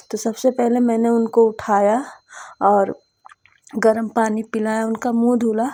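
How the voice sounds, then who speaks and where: A woman's fairly high-pitched voice, dark and mellow in tone, monotone and flat in intonation, at a very slow pace. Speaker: housewife vlogger. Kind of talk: casual vlog narration.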